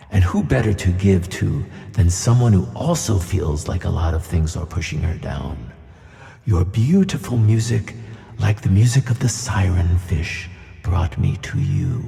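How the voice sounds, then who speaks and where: A man performs a put-on character voice. It is booming, with a very deep, low pitch. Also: moderate pace. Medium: audio drama. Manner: gentle and kindly.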